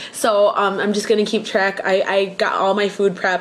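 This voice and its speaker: A woman's medium-pitched voice at a fairly quick pace. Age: 20s. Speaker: vlogger. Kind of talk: personal video diary. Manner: casual, hesitant with fillers. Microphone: webcam.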